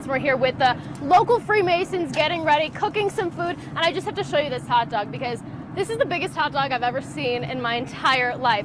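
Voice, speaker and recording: A woman's high-pitched voice with lively intonation, a fairly quick pace and noticeable background noise. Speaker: TV news reporter and anchor. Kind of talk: TV news report. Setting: field report.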